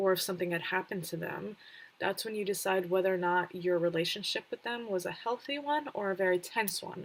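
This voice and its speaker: A woman with a plain, everyday voice, medium in pitch, at a fairly quick pace, with ordinary pitch variation. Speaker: streamer giving game tips. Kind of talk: livestream tutorial talk. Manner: casual with many fillers.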